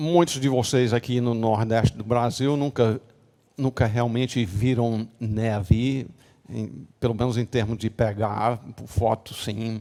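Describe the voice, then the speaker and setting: Very slowly and at a medium pitch, a man speaks in a dark, mellow tone with fairly even intonation and big swings in loudness, on a very clean recording with a silent background. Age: 70s. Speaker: pastor. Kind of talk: sermon. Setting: church. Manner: halting, many fillers.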